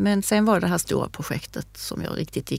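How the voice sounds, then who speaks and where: A woman speaks at a moderate pace. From Sweden, Skåne. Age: 60s. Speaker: craft shop manager and embroidery teacher. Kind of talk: casual chat. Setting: studio.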